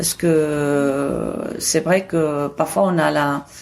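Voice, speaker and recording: Fairly even intonation in a woman's very deep, low voice. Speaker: photography school director. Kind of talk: interview answer.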